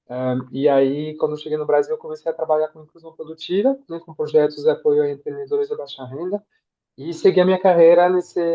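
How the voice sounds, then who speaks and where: A fairly high-pitched male voice with ordinary pitch variation. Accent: French. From France. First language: French (speaking Portuguese). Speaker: impact evaluation specialist. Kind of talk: self-introduction in webinar.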